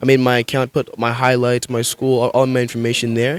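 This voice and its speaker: In a very clean recording with a silent background and a dry, close sound with no echo, a man speaks with an American accent at a fairly quick pace. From Kenya and North Carolina, US. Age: young. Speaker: high school football player. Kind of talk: interview.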